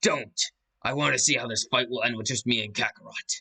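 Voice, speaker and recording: A man puts on a raspy character voice at medium pitch, going at a fairly quick pace in a dry, close sound with no echo. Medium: read story.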